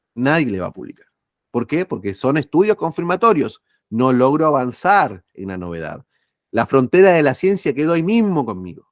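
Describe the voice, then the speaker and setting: A man with a fairly high pitch makes very wide pitch swings and big swings in loudness. The recording is very clean with a silent background, dry and close with no echo. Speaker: journal editor and academic speaker. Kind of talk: lecture. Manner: fast; animated.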